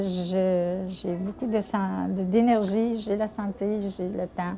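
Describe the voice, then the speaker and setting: Very slow in pace, a woman speaks at medium pitch with a dark, mellow tone and fairly even intonation. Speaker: senior volunteer. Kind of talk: testimony. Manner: halting.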